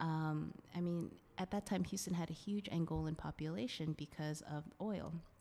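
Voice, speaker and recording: Speaking with an American accent, a woman has a fairly low pitch, a dark, mellow tone and ordinary pitch variation. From Singapore and US (Florida). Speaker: physician and dance instructor. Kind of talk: casual interview.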